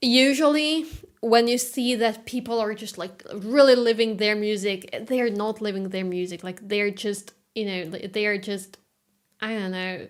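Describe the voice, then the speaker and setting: Speaking at a fairly slow pace, a woman with a slight non-native accent uses a fairly high pitch that varies in an ordinary way. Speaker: classical guitarist streamer. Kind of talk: casual live-stream chat. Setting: live stream. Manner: halting.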